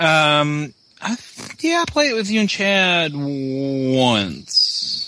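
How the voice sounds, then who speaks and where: A man's very slow speech is accompanied by noticeable background noise. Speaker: podcast co-host. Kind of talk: casual chat.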